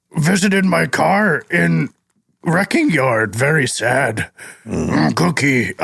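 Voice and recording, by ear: In a put-on character voice, a man speaks very slowly, gravelly and fairly high-pitched, with very wide pitch swings.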